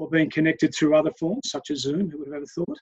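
In an Australian accent, a man speaks at a fairly high pitch with fairly even intonation. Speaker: head of a university residential college. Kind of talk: interview. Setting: video call. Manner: halting, with many fillers.

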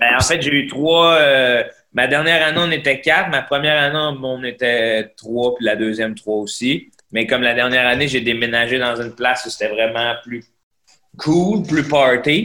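Using an ordinary speaking voice, a man talks at a fairly slow pace in a medium pitch with ordinary pitch variation. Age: 30s. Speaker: comedian. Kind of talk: casual chat.

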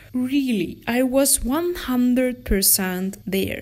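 Lively intonation runs through a woman's somewhat breathy speech. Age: 20s. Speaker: podcast host and photographer. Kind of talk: casual solo talk. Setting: room near the jungle.

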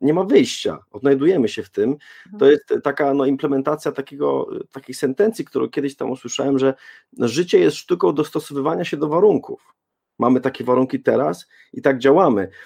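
A man's fairly quick, lively speech at a fairly high pitch, dark and mellow in tone with vocal fry, dry and close with no echo. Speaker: parenting blogger and podcaster. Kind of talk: panel debate.

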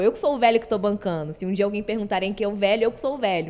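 Speaking at a very fast pace, a woman uses a medium-pitched voice. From Rio de Janeiro, Brazil. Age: 20s. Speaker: content creator. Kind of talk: casual chat.

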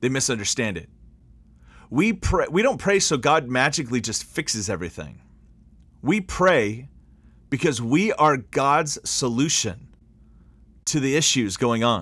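Speaking at a fairly slow pace with long, frequent pauses, a man with a medium-pitched voice and vocal fry sounds animated, his pitch swinging very widely. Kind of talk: sermon-style monologue with prayer. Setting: solo podcast recording. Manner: animated, impassioned, emphatic.

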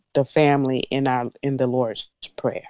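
Speaking in a South Carolina accent, this voice sounds dry and close, with no echo and a quiet background. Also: woman. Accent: Southern US (South Carolina). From US South, Columbia, South Carolina. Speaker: mother of host, guest. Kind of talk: casual chat.

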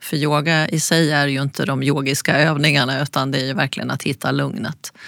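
A woman talks in a very deep, low voice. The sound is dry and close with no echo, and there is noticeable background noise. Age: 60s. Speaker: designer and yoga teacher. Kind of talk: interview.

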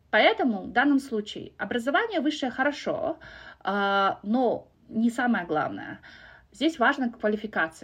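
Lively intonation carries the speech at a fairly slow pace. The background is quiet. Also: woman, high pitch for a woman. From Kazakhstan. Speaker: corporate program manager and podcaster. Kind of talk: casual interview.

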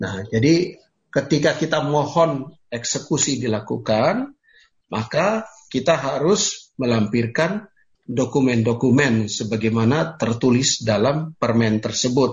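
Very slowly, a man speaks at medium pitch with lively intonation and a somewhat breathy voice. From Papua, Indonesia (Sorong). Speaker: lawyer. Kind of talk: lecture.

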